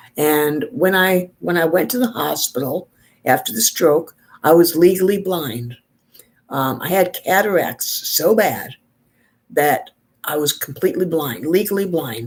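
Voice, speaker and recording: In a plain, everyday voice, a woman with an American accent and a fairly low pitch talks at a fairly slow pace with lively intonation. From New York. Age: 60s. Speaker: beauty vlogger. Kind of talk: casual chat.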